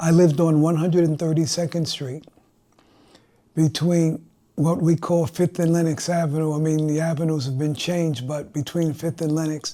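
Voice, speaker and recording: With monotone, flat intonation, the man's voice carries a dark, mellow tone. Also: fairly high pitch for a man, moderate pace. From New York City, Harlem. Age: 80s+. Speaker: arts producer and community organizer. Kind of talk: interview.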